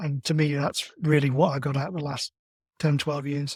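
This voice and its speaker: At a moderate pace, a man with a fairly high pitch talks in a somewhat breathy voice, with a dry, close sound and no echo. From England. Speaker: amateur marathon runner. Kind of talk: podcast interview.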